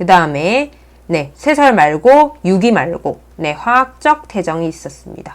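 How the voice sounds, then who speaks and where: A woman mumbles, her pitch making very wide swings. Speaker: earth science teacher. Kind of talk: lecture. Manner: slightly mumbled while writing.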